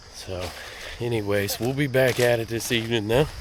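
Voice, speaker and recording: A man's medium-pitched voice at a moderate pace, fairly even intonation, with audible room echo and noticeable background noise. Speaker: hunting vlogger. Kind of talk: self-filmed hunting vlog. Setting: outdoors in the woods. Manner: casual, conversational.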